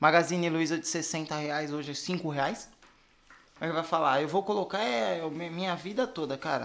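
A man talks at a moderate pace in a fairly high voice with ordinary pitch variation. He has an unremarkable speaking voice. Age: 20s. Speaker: financial educator. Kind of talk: casual chat.

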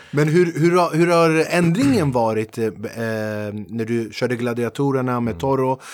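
This man has a medium pitch and a normal speaking voice, talking at a fairly slow pace with lively intonation and hardly any pauses. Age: 40s. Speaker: podcast host and comedian. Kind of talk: casual interview. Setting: studio.

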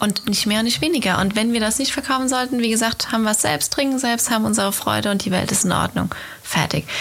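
A woman talks at a very fast pace with a fairly high pitch and very even loudness. Noticeable background noise runs under her voice. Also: ordinary pitch variation. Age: 30s. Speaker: winemaker, podcast co-host. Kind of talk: casual chat. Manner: animated.

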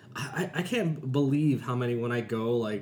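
Noticeable background noise sits behind speech that moves at a fairly slow pace with ordinary pitch variation. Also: man. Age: 30s. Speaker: podcast host. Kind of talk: casual chat, interview. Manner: joking, laughs often.

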